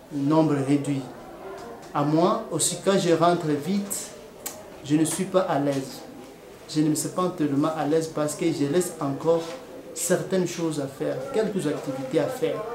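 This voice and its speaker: A man's fairly high-pitched voice at a fairly slow pace, with long, frequent pauses, audible room echo and noticeable background noise. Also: ordinary pitch variation. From DR Congo. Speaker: nurse. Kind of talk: interview testimony. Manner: hesitant, with many fillers.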